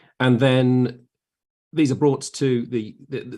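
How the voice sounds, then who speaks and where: With a southern English accent, a man speaks at a very slow pace. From southern England. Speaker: maths teacher. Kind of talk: casual chat. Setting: live stream.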